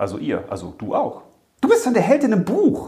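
An animated male voice at a moderate pace, with audible room echo. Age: 40s. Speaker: children's author and podcast host. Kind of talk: casual chat.

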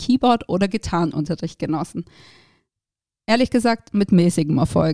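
Lively in intonation, a woman with an unremarkable speaking voice talks at a moderate pace. The sound is dry and close, with no echo. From southern Germany, between Stuttgart and Ulm. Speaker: podcast host, startup founder. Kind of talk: personal storytelling monologue. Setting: studio.

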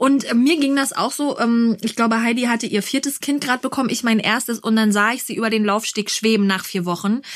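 Noticeable background noise sits behind a woman talking at a fairly quick pace with hardly any pauses. Her voice is fairly high, with fairly even intonation. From Berlin. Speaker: podcast host and mother. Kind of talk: interview.

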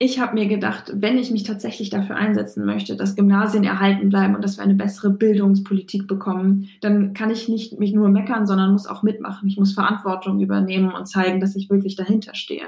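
A woman speaks very fast at a medium pitch. Her intonation is flat and monotone. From Bremen, northern Germany. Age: 20s. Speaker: politician. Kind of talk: interview.

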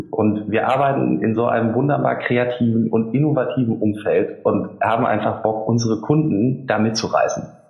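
At a moderate pace and with fairly even intonation, the voice comes through audible room echo and noticeable background noise. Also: man. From Emsland, northern Germany. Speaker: marketing agency founder. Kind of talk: interview. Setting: remote call from office.

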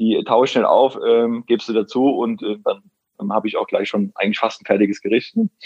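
Very fast talking from a man, with ordinary pitch variation. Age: 30s. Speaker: personal trainer and nutrition coach. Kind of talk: interview.

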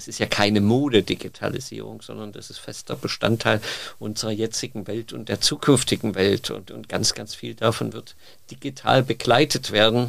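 Vocal fry runs through this voice, which keeps a moderate pace and ordinary pitch variation. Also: man, fairly low pitch for a man. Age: 50s. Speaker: bathroom industry trend scout. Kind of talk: interview. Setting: studio. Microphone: occasional sound problems.

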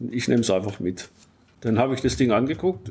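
A man's medium-pitched, dark, mellow voice at a fairly quick pace, with ordinary pitch variation, on a very clean recording with a silent background. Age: 60s. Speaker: hobby vehicle builder. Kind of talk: interview. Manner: halting, with many repetitions.

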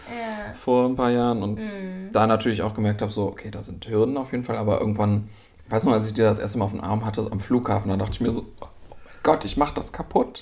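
A man at medium pitch, talking at a very fast pace with ordinary pitch variation. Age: 40s. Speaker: visiting friend. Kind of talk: casual chat.

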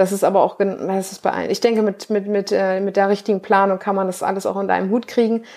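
Recorded very cleanly against a silent background, a woman of medium pitch talks at a fairly quick pace in a normal speaking voice. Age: 20s. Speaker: bikini bodybuilding athlete and nutrition coach. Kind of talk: casual interview.

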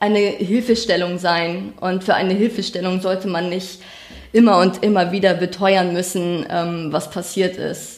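A woman speaks in a monotone, flat intonation. Her pace is fairly slow. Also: medium pitch for a woman. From northern Germany, rural Schleswig-Holstein. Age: 20s. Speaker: crime victim sharing her story. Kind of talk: testimony. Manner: halting.

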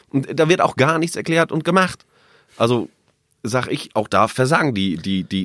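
Marked by vocal fry and very wide pitch swings, a man's voice is captured in a very clean recording with a silent background and a dry, close sound with no echo. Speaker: newsroom colleague, debate guest. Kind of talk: casual debate chat. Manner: provocative, teasing.

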